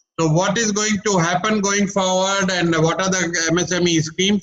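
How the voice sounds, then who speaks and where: This man's voice sits high in pitch. He talks at a moderate pace. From India, Maharashtra (Ulhasnagar). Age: 60s. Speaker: business coach. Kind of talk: webinar presentation. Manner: energetic.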